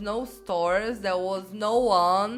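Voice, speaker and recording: Speaking at a very slow pace, a woman with a Brazilian accent keeps to a medium pitch. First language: Portuguese. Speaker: YouTuber. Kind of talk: personal anecdote.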